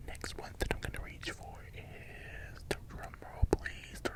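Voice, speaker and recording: Whispering at a fairly slow pace, a man can be heard over noticeable background noise. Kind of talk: casual talk to camera, ASMR-style vinyl collection show-and-tell. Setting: voiceover recorded after filming, with fans running.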